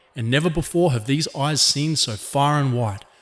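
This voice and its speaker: Somewhat breathy, a man with a fairly high pitch speaks at a moderate pace with ordinary pitch variation. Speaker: magazine editor. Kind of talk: theatrical ringmaster-style address on politics. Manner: grandiloquent, alliterative oratory.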